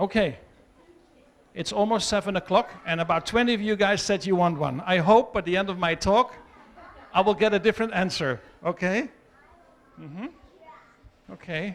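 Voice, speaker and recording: A loud man, high-pitched, with ordinary pitch variation and long, frequent pauses. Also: moderate pace. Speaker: wildlife rescue founder. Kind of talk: talk to children.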